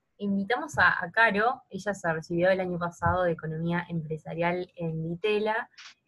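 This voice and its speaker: A woman with a Rioplatense accent talks at a moderate pace, barely pausing. Her fairly low voice has a bright, sharp tone and ordinary pitch variation. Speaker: podcast co-host. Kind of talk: interview conversation.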